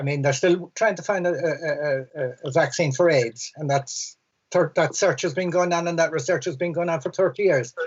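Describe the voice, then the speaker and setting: With a Cork accent, a man speaks at a moderate pace and a high pitch. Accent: Cork Irish. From Ireland, Cork City. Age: 60s. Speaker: environmental campaigner. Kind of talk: panel discussion. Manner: halting, repeats words.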